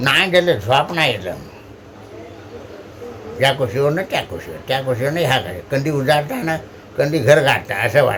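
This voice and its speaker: Lively in intonation, a man's fairly high voice comes through over noticeable background noise. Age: old. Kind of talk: casual dialect monologue.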